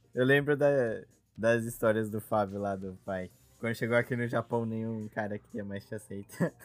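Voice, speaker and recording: A man talks at a medium pitch. He has a plain, everyday voice. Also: fairly even intonation, moderate pace. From Brazil. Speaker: podcast host. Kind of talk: casual chat.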